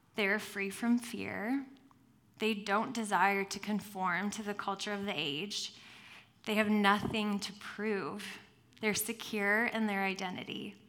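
A woman's medium-pitched voice, fairly slow and fairly even in intonation, with audible room echo. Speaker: guest preacher. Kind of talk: sermon. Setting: church with congregation and headset mic.

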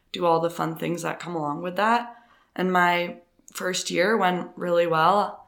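In a Canadian accent, a woman with a fairly low voice speaks at a fairly slow pace with ordinary pitch variation, and room echo is audible. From Canada, Ontario. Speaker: professional runner. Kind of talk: interview.

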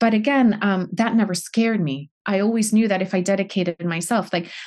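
In a Puerto Rican accent, a woman speaks somewhat breathily at a fairly quick pace with ordinary pitch variation, on a very clean recording with a silent background. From Puerto Rico. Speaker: financial coach. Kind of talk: podcast interview.

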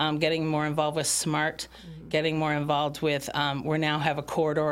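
A woman speaks in a very deep, low voice. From Michigan, Bloomfield Township. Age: 50s. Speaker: township supervisor. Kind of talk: casual interview. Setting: studio.

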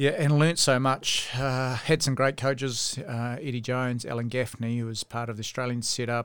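Medium-pitched male voice with a New Zealand accent, moderate pace, monotone and flat. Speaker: rugby coach and former referee. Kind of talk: casual chat. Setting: studio.

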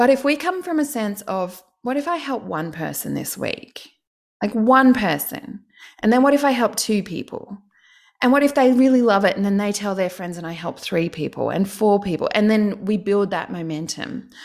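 A woman speaks at a fairly high pitch and a moderate pace. Her intonation is lively. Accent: Australian. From Australia, Canberra. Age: 40s. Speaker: online course business coach. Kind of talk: casual interview chat.

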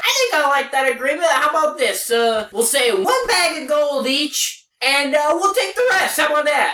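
A high-pitched, put-on character voice goes at a moderate pace. There are hardly any pauses. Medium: actual play. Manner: rough, slangy, blunt.

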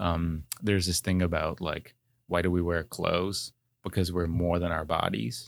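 A man talks at a moderate pace with a very deep, low pitch and fairly even intonation. His loudness stays very even on a very clean recording with a silent background. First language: not English. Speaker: PhD student and former property lawyer. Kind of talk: interview.

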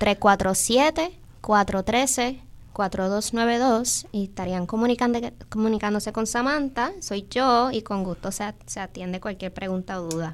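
Speaking at a very slow pace, a woman with a fairly high pitch shows ordinary pitch variation in a very clean recording with a silent background. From New York, Bronx. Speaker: agroecology school coordinator. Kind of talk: interview.

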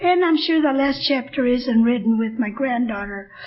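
A woman with an American accent speaks at a high pitch. Background noise is noticeable. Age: 70s. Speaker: AA speaker. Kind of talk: recovery testimony.

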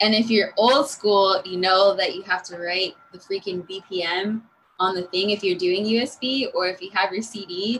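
In a normal speaking voice, a woman with an American accent talks at a fairly slow pace, her medium pitch carrying fairly even intonation. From Los Angeles. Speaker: DJ and music producer. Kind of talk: casual interview.

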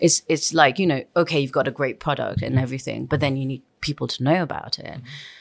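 Talking very fast with hardly any pauses, a woman with a very deep, low pitch and vocal fry keeps a fairly even intonation on a very clean recording with a silent background. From Nepal (Kathmandu). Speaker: bar and venue owner. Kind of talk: interview. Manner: casual, hesitant with many fillers.

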